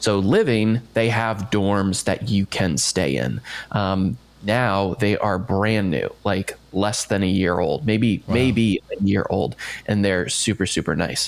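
A man speaks very slowly with an American accent and a fairly low pitch. His loudness stays very even throughout. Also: ordinary pitch variation. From US, Maryland near D.C. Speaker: marketer and former theme park worker. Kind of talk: casual interview chat.

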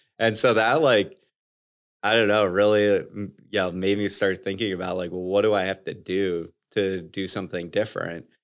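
With an unremarkable speaking voice, a man talks at a moderate pace and fairly low pitch, his intonation fairly even, in a very clean recording with a silent background. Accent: American. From US Midwest, Michigan (Detroit suburbs). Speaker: company CEO. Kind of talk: interview.

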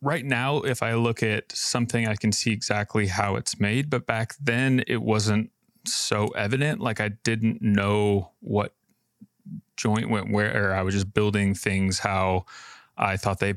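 A man's plain, everyday voice with an American accent, fairly low in pitch, fairly slow and with fairly even intonation, in a very clean, dry, close recording with a silent background and no echo. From Idaho. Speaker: furniture maker and business owner. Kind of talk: interview.

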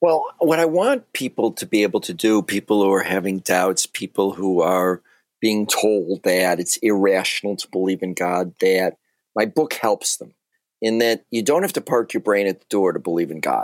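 An unremarkable speaking voice with an American accent moves at a moderate pace with lively intonation. The recording is very clean, dry and close, with a silent background and no echo. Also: man, fairly low pitch for a man. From US Midwest (Chicago). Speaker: author and banker. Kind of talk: interview.

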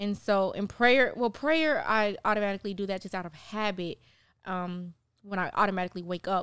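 A woman with an American accent, a plain, everyday voice, medium pitch, ordinary pitch variation and a fairly quick pace. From Miami, Florida. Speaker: TV producer. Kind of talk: casual chat.

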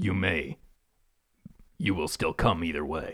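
A man shouts in a put-on character voice, gravelly and raspy, at a fairly slow pace. The sound is dry and close with no echo. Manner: harsh, screaming, gravelly.

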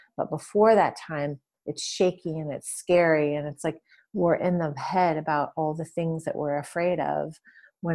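A woman with an American accent has a plain, everyday voice, fairly low in pitch with fairly even intonation. She speaks at a moderate pace on a very clean recording with a silent background. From US Midwest, Detroit suburbs. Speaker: yoga teacher and healer. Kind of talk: interview conversation.

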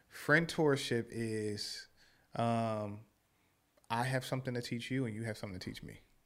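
Over a silent background on a very clean recording, a man at medium pitch speaks at a moderate pace with fairly even intonation and long, frequent pauses. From Philadelphia. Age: 30s. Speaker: podcast guest, social media personality and mentor. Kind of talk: casual chat.

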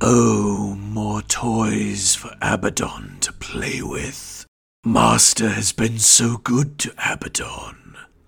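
A put-on character voice, raspy and rumbling, with a menacing tone at a very slow pace. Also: man, fairly low pitch for a man.

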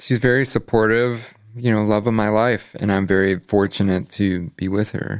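A man in a normal speaking voice, fairly low in pitch, at a moderate pace with hardly any pauses and fairly even intonation, in a very clean recording with a silent background. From Chicago suburbs, Illinois. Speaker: concert promoter. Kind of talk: casual interview. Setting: studio.

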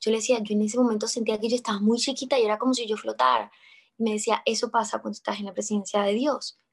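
The speaker is a woman with vocal fry. She talks at a very fast pace. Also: fairly high pitch for a woman, fairly even intonation. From Colombia. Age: 20s. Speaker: actress. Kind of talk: interview testimony.

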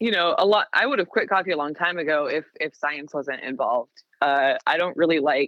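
Using a normal speaking voice, a woman with a fairly low pitch talks at a fairly quick pace with hardly any pauses and ordinary pitch variation. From US Pacific Northwest, Seattle area. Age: 30s. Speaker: coffee roaster. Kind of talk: casual chat.

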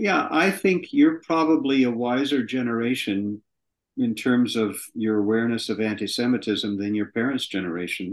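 Speaking at a moderate pace, a man uses an ordinary speaking voice of medium pitch with an American accent. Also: lively intonation, quiet background. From US West Coast (southern California). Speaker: screenwriter and producer. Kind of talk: interview.

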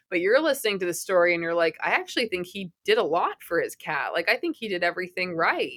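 A woman with an American accent talks at a very fast pace with hardly any pauses. Her pitch variation is ordinary, and the sound is dry and close with no echo. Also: medium pitch for a woman. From Massachusetts, outside Boston. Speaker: author and writing teacher. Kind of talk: interview.

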